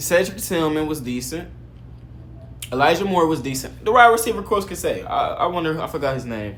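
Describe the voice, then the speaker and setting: Amid audible room echo, a man with a fairly high pitch speaks fairly quickly in an animated tone, his pitch swinging very widely. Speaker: sports commentator. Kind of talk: casual video commentary. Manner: fast, stuttering.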